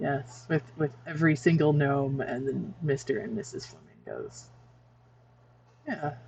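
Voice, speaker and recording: Long pauses come often, and the delivery is fairly slow overall. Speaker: streamer. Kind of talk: casual chat. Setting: live stream. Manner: loud.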